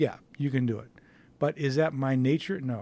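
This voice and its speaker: A man's dark, mellow tone at a fairly high pitch, with fairly even intonation and a moderate pace. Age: 60s. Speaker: photographer and studio owner. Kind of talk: casual monologue vlog. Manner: hesitant with fillers.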